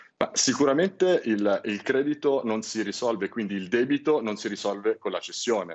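A man at medium pitch speaks with lively intonation and hardly any pauses. His pace is moderate, and the background is quiet. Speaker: credit company executive; interview guest, finance commentator. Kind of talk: TV interview; interview answer. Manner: formal. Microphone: video call.

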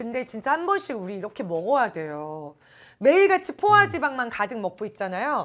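In a very clean recording with a silent background, a woman speaks at a fairly quick pace with a fairly high pitch, very wide pitch swings, big swings in loudness and an animated tone. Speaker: live commerce shopping host. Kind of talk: live shopping broadcast.

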